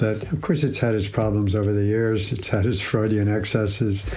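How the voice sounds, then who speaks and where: Audible room echo surrounds a man speaking at a fairly quick pace. His pitch is fairly low. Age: 70s. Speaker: psychologist and institute president. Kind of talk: interview. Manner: halting, with many fillers.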